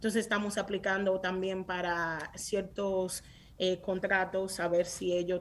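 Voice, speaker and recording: A woman with a medium pitch speaks very slowly. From Dominican Republic (San Francisco de Macorís), then New York. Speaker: tech startup founder. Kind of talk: interview. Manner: animated.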